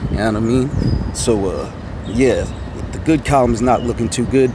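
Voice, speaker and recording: A man talks at a fairly quick pace with a medium pitch. Noticeable background noise runs under his voice. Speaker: rideshare driver and vlogger. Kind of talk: casual vlog monologue. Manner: animated.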